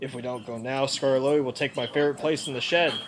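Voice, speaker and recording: Using a put-on character voice at medium pitch, a man rattles along at a very fast pace. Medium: read story. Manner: brash, scoffing.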